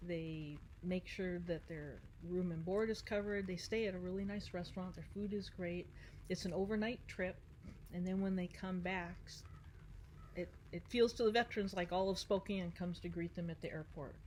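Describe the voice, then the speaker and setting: A woman speaks at a medium pitch and a moderate pace. Her voice is somewhat breathy, with fairly even intonation. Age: 60s. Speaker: Marine Corps veteran and paddleboarder. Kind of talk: interview.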